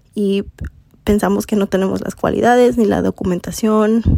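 Here a woman speaks at a moderate pace. Noticeable background noise can be heard. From US Midwest (Elkhart, Indiana; Mexican family). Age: 20s. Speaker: podcast host and mindset coach. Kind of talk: casual monologue.

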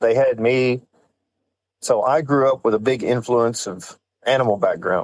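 Speaking at a fairly slow pace, a man with a West Texas accent keeps a medium pitch and fairly even intonation. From West Texas (San Angelo). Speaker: off-road shop owner. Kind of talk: casual chat.

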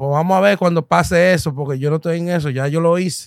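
A man's voice, dry and close with no echo. The recording is very clean, with a silent background. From New York, Dominican-American. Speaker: comedian. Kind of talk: casual chat. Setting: studio. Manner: animated.

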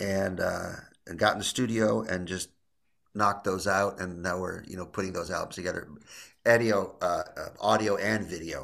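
With an American accent, a man speaks at a moderate pace in a fairly low, monotone, flat voice. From US Midwest, Illinois. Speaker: jazz guitarist. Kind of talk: casual interview.

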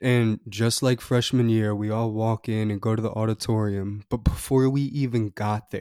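A man with a dark, mellow tone speaks at medium pitch and a moderate pace in a monotone, flat intonation, on a very clean recording with a silent background and a dry, close sound with no echo. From Maryland, Annapolis. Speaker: podcast host. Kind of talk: casual storytelling monologue. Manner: frequent breaths.

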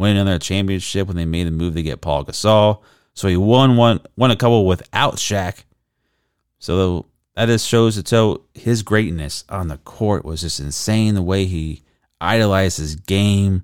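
In an ordinary speaking voice, a man with a fairly low pitch and ordinary pitch variation speaks on a very clean recording with a silent background. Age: 30s. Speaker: sports podcast host. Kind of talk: casual solo commentary. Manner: casual, conversational.

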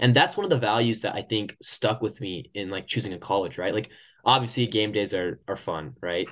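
A man with an American accent and a normal speaking voice talks at a fairly quick pace, his fairly low pitch showing ordinary variation against a quiet background. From Oklahoma, US. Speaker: podcast host. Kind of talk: casual interview chat.

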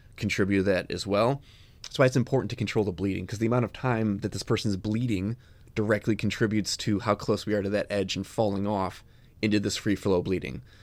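With an American accent and a normal speaking voice, a man talks at a fairly quick pace, fairly low in pitch with fairly even intonation, on a very clean recording with a silent background. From Chicago, US Midwest. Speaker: EMS podcast host, paramedic educator. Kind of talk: casual instructional interview.

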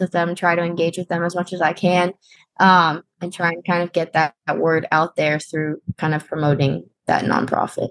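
At a moderate pace, a woman talks in an ordinary speaking voice with a fairly low pitch. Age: 20s. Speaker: wheelchair basketball player and college student. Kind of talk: interview.

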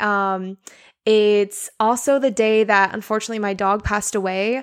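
A woman mumbles at a fairly high pitch. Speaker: podcast host. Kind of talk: casual solo monologue, podcast intro. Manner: casual, rambling, enthusiastic; filler-heavy, with stutters and mumbles.

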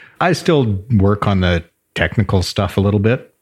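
A man speaks in a Canadian prairie accent, his voice somewhat breathy. The recording is very clean, with a silent background. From rural southern Alberta, Canada. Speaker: brewery co-owner. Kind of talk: casual interview. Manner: laughs often.

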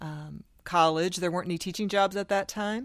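Recorded very cleanly against a silent background, a woman speaks in a fairly low pitch with an American accent. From US Midwest (Sioux City, Iowa). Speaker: school district administrator. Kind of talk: interview.

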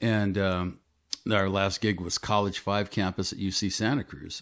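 An unremarkable speaking voice from a man with an American accent, fairly low pitch and fairly even intonation, on a very clean recording with a silent background. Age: 60s. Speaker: musician and actor. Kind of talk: casual chat.

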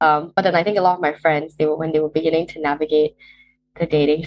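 At a very fast pace, a woman talks in a fairly low voice. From Malaysia. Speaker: university student. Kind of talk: casual chat.

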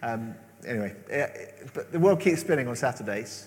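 There is audible room echo around a man speaking at a fairly quick pace. His voice has vocal fry and very wide pitch swings. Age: 40s. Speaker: preacher. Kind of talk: sermon.

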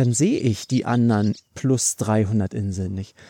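The recording is very clean with a silent background and a dry, close sound with no echo, carrying a man's dark, mellow voice with ordinary pitch variation. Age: 30s. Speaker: career coach podcast host. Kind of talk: casual monologue. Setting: outdoors, walking along a cliff coast.

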